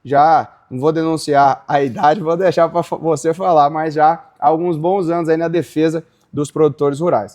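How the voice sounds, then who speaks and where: Against a quiet background, a man with a plain, everyday voice speaks at a fairly high pitch and a moderate pace, with fairly even intonation and hardly any pauses. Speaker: podcast host, founder of agribusiness legal portal. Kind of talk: casual interview conversation.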